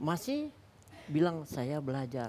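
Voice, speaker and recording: At a moderate pace, a man talks with lively intonation in a fairly high pitch and a dark, mellow tone. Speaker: former football coach. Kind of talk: talk show interview. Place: studio.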